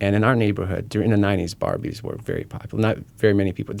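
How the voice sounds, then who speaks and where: In a very clean recording with a silent background, a man talks at a very fast pace in a fairly low pitch with vocal fry. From Ukraine, Kyiv. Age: 30s. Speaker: charity speaker sharing personal story. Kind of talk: interview testimony. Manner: animated storytelling.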